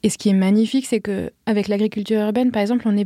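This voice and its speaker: The voice has a dark, mellow tone and fairly even intonation on a very clean recording with a silent background. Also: woman. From Paris. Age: 30s. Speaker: flower farmer. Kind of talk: interview.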